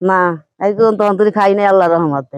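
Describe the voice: Clear, smooth tone from a woman at medium pitch, fairly quick, with ordinary pitch variation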